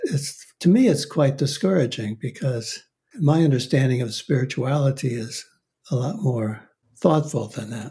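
At a moderate pace, a man with a fairly high, somewhat breathy voice speaks in a dark, mellow tone with ordinary pitch variation. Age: 80s+. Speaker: author and psychotherapist, former monk. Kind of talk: interview. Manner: halting.

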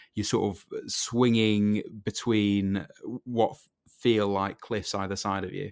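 A man speaks with a Yorkshire accent at a very slow pace, his pitch fairly low. His intonation stays fairly even, while his loudness swings widely. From Yorkshire, northern England. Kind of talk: casual chat.

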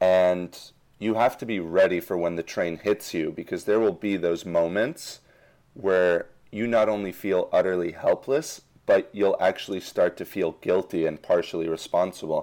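Over a quiet background, a man speaks with a very deep, low pitch and ordinary pitch variation. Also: moderate pace. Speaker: gap year alum. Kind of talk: interview.

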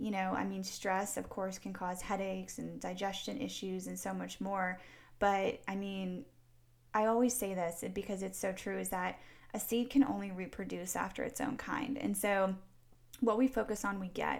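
At a moderate pace, a woman talks in an ordinary speaking voice with medium pitch and ordinary pitch variation. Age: 30s. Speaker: fitness and faith coach for women. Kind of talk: casual interview.

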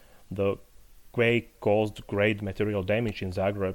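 A man talks at a fairly low pitch and a moderate pace. His intonation is monotone and flat. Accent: Slovak. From Slovakia, Poprad. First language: Slovak. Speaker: literary critic and university lecturer. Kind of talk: interview. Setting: remote call.

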